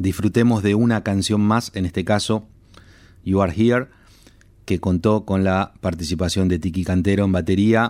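A man speaks in a plain, everyday voice, fairly low in pitch, with fairly even intonation and a moderate pace. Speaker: radio host. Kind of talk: scripted narration.

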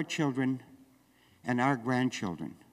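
Here is a man with a Canadian prairie accent. The recording is very clean, with a silent background. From Western Canada. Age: 70s. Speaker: farmer and activist. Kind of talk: speech. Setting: stage with audience.

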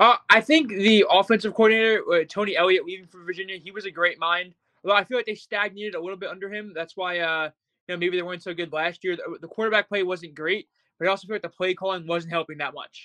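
A man's raised, projected voice, high in pitch and bright, sharp in tone, at a very fast pace with fairly even intonation, big swings in loudness, and a dry, close sound with no echo. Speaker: college football Twitter account creator, guest. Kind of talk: casual interview.

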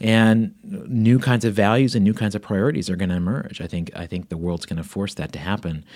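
Using a normal speaking voice, a man with a fairly low pitch talks at a fairly quick pace with hardly any pauses. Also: ordinary pitch variation. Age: 40s. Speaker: author and former tech CEO. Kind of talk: interview.

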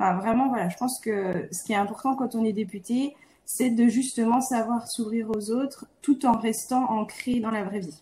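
Her voice an unremarkable speaking voice, a woman talks at a moderate pace and fairly high pitch with ordinary pitch variation. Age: 30s. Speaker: physiotherapist and member of parliament. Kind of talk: interview conversation.

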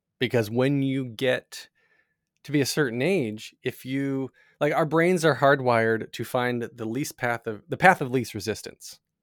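In a very clean recording with a silent background and a dry, close sound with no echo, a man with an ordinary speaking voice talks fairly slowly at a medium pitch with ordinary pitch variation. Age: 40s. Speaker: podcast host and tech company co-founder. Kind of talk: casual interview.

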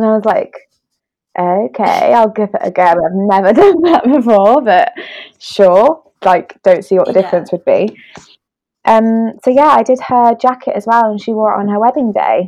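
Her voice fairly high yet dark and mellow, a woman with a British accent talks at a moderate pace with lively intonation. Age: 20s. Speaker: illustrator and wedding creative. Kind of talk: casual chat. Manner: hesitant, many fillers and laughs.

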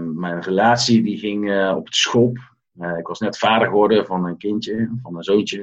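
Pitch varies in an ordinary way as the speech keeps a moderate pace. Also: man. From Netherlands, Tilburg (North Brabant). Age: 40s. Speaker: coach and former restaurant owner. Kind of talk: interview.

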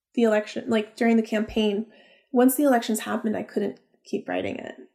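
A woman speaks at a moderate pace with a fairly high pitch and a dark, mellow tone. The recording is very clean, with a silent background. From Florida and Texas, born in Peru. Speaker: novelist. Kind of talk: casual chat.

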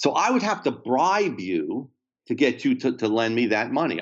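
A man speaks with a New Jersey accent. His intonation is lively. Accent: New Jersey American. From US Northeast, New Jersey. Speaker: economics professor. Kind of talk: interview about economics. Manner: repetitive stammering.

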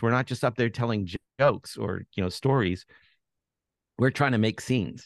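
A man with a Canadian accent has a plain, everyday voice at a medium pitch with ordinary pitch variation. The sound is dry and close, with no echo. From Canada, Toronto. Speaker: journalist and author. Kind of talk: interview.

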